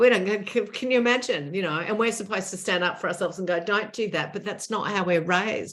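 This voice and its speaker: Speech in an Australian accent comes at a very fast pace. There are hardly any pauses. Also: woman, medium pitch for a woman, ordinary pitch variation. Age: 60s. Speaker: author and former TV presenter. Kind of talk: interview conversation.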